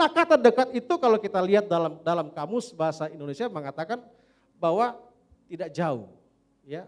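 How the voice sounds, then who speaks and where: A man with a high pitch talks at a fairly quick pace with lively intonation. He takes long, frequent pauses. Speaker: pastor. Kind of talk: sermon.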